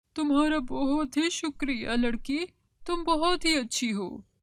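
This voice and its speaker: A cartoonish character voice, high-pitched and gentle in tone, at a fairly slow pace. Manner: gentle, kindly.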